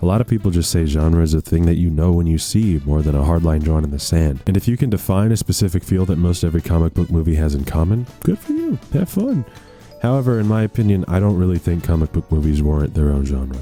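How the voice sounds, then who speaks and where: The speech runs very fast with hardly any pauses and very even loudness. Pitch varies in an ordinary way, and music plays in the background. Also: man, very deep, low pitch for a man. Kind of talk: video essay narration. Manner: casual, joking.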